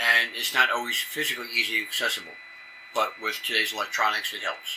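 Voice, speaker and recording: In a Brooklyn accent, a man talks at a very fast pace amid audible room echo and noticeable background noise. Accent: New York, Brooklyn roots. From New York City area. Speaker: amateur radio emergency coordinator. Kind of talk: conference presentation. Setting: conference session with audience.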